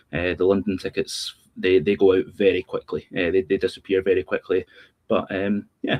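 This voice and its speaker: A man with a Scottish accent talks at a very fast pace. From Scotland. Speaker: sports journalist and podcaster. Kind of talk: casual chat.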